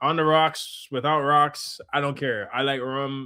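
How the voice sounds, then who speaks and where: Here is a man with a medium-pitched voice. His tone is animated. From Jamaica. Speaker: streamer and filmmaker. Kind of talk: live stream reaction chat. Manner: casual, animated.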